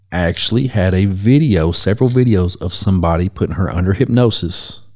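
A man's fairly low voice with an American accent, lively intonation, a moderate pace and a plain, everyday voice. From Ohio. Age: 30s. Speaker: podcast host, tattoo artist. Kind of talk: casual chat.

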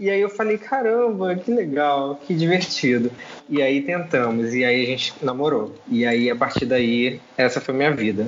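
Amid noticeable background noise, a man with a fairly high pitch speaks at a fairly slow pace, his pitch swinging very widely while his loudness stays very even. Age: 20s. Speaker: co-author and witchcraft practitioner. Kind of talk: casual chat.

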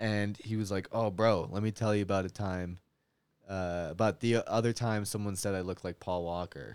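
An unremarkable speaking voice from a man with a Canadian accent, fairly low in pitch, moderate in pace and fairly even in intonation, on a very clean recording with a silent background. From Canada, Winnipeg. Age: 20s. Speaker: comedian. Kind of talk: casual chat. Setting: home studio in a basement.

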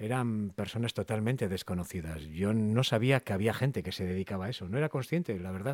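On a very clean recording with a silent background, a man with a plain, everyday voice speaks at a fairly low pitch with lively intonation, the sound dry and close with no echo. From Cantabria, Spain (Castro Urdiales). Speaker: voice actor. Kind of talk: interview.

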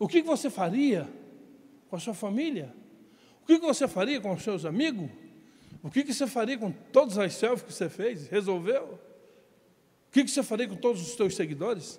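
A man with a Brazilian accent and a high voice speaks at a moderate pace with very wide pitch swings and long, frequent pauses on a very clean recording with a silent background. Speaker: pastor. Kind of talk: sermon.

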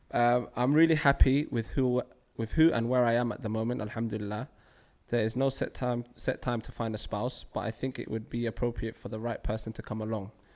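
Fairly quick, medium-pitched speech from a man in a London accent. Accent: London multicultural English. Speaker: podcast host. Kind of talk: casual chat.

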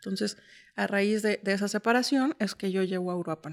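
An unremarkable speaking voice from a woman at medium pitch with ordinary pitch variation, dry and close with no echo. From Mexico City. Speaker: insurance sales entrepreneur. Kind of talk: interview.

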